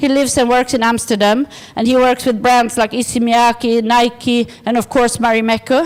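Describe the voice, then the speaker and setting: Speaking at a moderate pace, a woman with a high-pitched voice talks with a Swedish accent. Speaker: design organisation director. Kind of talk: conference presentation. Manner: halting.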